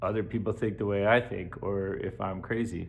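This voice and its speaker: The room echo is audible. Beneath it, a man talks in a fairly low register. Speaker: vlogger and substitute teacher. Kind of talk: casual vlog monologue. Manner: slow; halting, many filler words.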